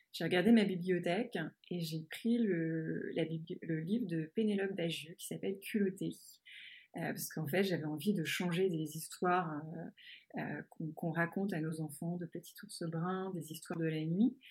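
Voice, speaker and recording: A somewhat breathy woman at a fairly low pitch and moderate pace, with fairly even intonation, big swings in loudness and long, frequent pauses, on a very clean recording with a silent background. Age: 40s. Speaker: marketing executive and podcaster. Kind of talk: interview. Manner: halting, many repetitions and fillers.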